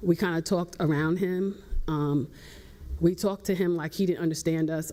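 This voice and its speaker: A woman with a dark, mellow tone talks at a fairly quick pace, her fairly low pitch held in fairly even intonation. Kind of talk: panel talk. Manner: loud; hesitant with fillers.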